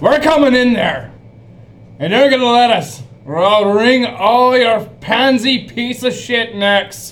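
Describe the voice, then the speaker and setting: In a put-on character voice, a man bellows with a gruff sound at an extremely high pitch. His pace is fairly slow. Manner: gruff, bellowing, intimidating.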